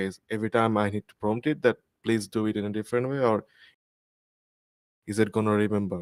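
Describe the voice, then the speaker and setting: Heard in a dry, close sound with no echo, a man with a non-native accent and a fairly low pitch speaks at a very fast pace yet leaves long, frequent pauses. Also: fairly even intonation. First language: not English. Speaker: audience member asking questions. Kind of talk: Q&A after a talk.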